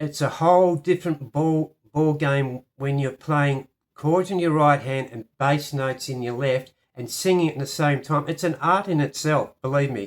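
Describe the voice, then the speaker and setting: A man with an Australian accent at a fairly high pitch, moderate pace and ordinary pitch variation in a very clean recording with a silent background. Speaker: piano teacher. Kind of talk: tutorial.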